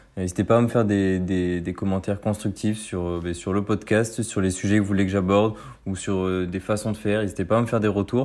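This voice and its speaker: In a dark, mellow tone and a fairly low pitch, a man talks fairly quickly with monotone, flat intonation. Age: 20s. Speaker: student podcaster. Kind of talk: solo podcast monologue. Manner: halting, many fillers.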